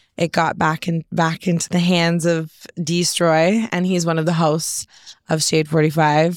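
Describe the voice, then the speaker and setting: In a very clean recording with a silent background, a woman talks at a fairly slow pace in a fairly low register, an ordinary speaking voice. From Collingwood, Ontario, Canada. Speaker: rapper and songwriter. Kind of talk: casual podcast interview.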